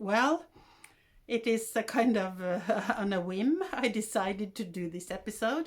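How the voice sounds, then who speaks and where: A woman speaks with a Norwegian accent at a fairly slow pace. Her pitch is fairly high, and her intonation is lively. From Norway. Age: 60s. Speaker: podcaster. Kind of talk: casual monologue. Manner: halting.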